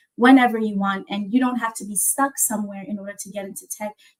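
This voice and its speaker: Fairly high-pitched and somewhat breathy, a woman speaks very fast with fairly even intonation. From South Africa. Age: 20s. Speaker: tech startup founder, speaker. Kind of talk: presentation with slides.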